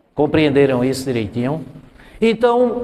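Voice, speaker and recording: A man talks with lively intonation, and audible room echo can be heard around him. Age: 60s. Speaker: math teacher. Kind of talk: classroom lecture.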